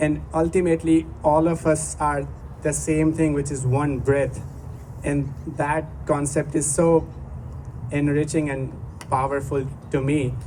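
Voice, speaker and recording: In a Gujarati accent, a man speaks at a fairly high pitch with monotone, flat intonation and long, frequent pauses. Noticeable background noise and audible room echo are present. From India, Gujarat. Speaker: musician. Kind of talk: stage introduction to a live performance. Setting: outdoor stage with audience. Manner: halting.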